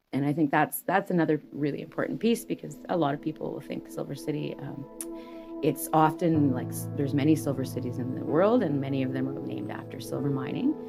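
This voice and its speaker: With music in the background, a woman speaks at a very fast pace. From Kluane First Nation, Yukon, Canada. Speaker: First Nation storyteller sharing local history. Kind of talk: interview answer. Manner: conversational, reflective, with hesitations.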